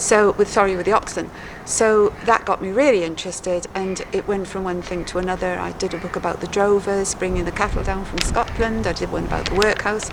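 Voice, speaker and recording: A woman talks with hardly any pauses. Noticeable background noise runs underneath. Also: medium pitch for a woman, fairly even intonation, fairly quick pace. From Wales, Hay-on-Wye. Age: 70s. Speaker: author. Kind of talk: interview.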